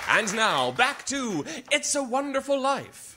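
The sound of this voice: Over faint music and faint crowd noise, a man in a put-on character voice speaks slowly at extremely high pitch, his tone bright and sharp, with big pitch swings.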